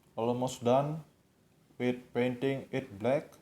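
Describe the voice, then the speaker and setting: A man with a medium pitch talks at a very slow pace. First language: not English. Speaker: tutorial video maker. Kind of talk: tutorial. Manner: halting.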